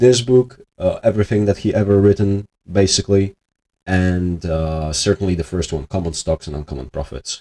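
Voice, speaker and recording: A man with a non-native accent, a very deep, low pitch and a dark, mellow tone, at a moderate pace in a dry, close sound with no echo. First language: not English. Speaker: investing video host. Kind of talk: casual monologue. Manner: hesitant, many filler words.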